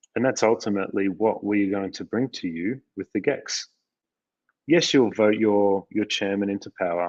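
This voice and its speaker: A man with an Australian accent speaks at a moderate pace, fairly low in pitch with ordinary pitch variation. The sound is dry and close with no echo, over a quiet background. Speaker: company CEO. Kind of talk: live Q&A discussion. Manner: hesitant, many fillers.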